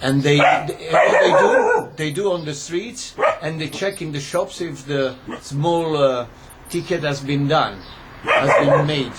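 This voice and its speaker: A man speaks with an Italian accent at a fairly high pitch. Noticeable background noise can be heard. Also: ordinary pitch variation, fairly slow pace. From Italy, Rome. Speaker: commentator. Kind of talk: video monologue. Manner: halting.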